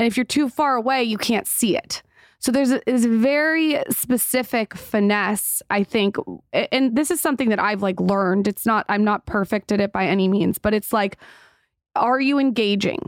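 In a very clean recording with a silent background, a woman talks at a moderate pace in an ordinary speaking voice, fairly high in pitch, with ordinary pitch variation, very even loudness and a dry, close sound with no echo. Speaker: podcast host and content creator. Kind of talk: casual interview conversation.

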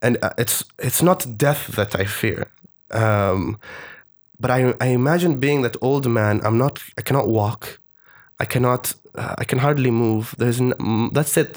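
A man with an Arabic accent talks at a fairly slow pace and a medium pitch. His loudness is very even, and his pitch variation is ordinary. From Oman. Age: 20s. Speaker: storyteller and TV producer. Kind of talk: casual interview chat. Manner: halting, many fillers.

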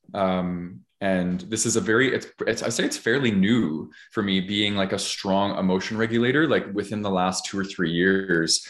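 With a plain, everyday voice, a man speaks at a moderate pace and a fairly low pitch, with ordinary pitch variation and very even loudness. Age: 30s. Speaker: podcast host. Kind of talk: casual chat.

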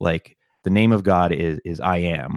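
In an American accent, a man speaks fairly slowly with a very deep, low pitch, and the sound is dry and close with no echo. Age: 30s. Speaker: tech worker and podcast guest. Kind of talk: casual chat. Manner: halting.

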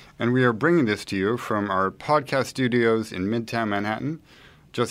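A man talks at a fairly quick pace with lively intonation in an unremarkable speaking voice. The background is quiet. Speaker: podcast host. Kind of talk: interview.

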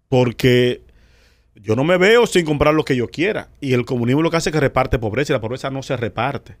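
A man with a medium pitch talks at a fairly quick pace, his pitch varying in an ordinary way. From Dominican Republic. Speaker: comedian and radio personality. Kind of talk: casual chat. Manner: animated.

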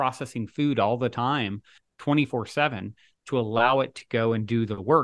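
In a normal speaking voice, a man talks at a moderate pace with ordinary pitch variation against a quiet background. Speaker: author and podcast host. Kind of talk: interview conversation.

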